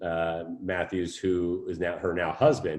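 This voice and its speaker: With an American accent and lively intonation, a man uses an ordinary speaking voice against a quiet background. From California. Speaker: fitness trainer. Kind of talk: casual chat.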